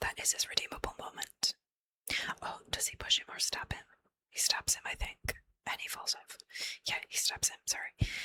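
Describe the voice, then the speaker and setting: Whispering from a woman at a moderate pace, with long, frequent pauses, big swings in loudness, and a dry, close sound with no echo. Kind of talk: ASMR ramble about movie characters, casual talk. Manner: whispered, soft-spoken.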